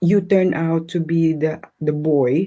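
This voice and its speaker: A woman's fairly low voice with monotone, flat intonation. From Philippines. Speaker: restaurant manager and single parent. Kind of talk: live interview.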